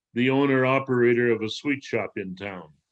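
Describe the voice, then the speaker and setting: Here a man is talking. His intonation stays fairly even. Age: 60s. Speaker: former mathematics teacher, waste management entrepreneur. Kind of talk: interview answer.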